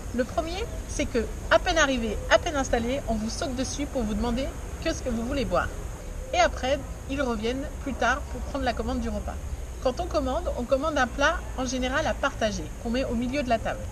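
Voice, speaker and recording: A woman's fairly quick speech with audible room echo and noticeable background noise. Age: 30s. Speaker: vlogger. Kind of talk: presenting to camera. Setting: outdoors.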